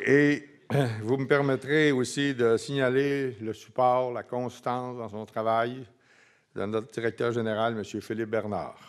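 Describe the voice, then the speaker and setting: Over a quiet background, a man speaks at a very slow pace with fairly even intonation. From Quebec. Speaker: foundation president; speaker. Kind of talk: closing remarks speech. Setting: conference with audience. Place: hall. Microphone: podium.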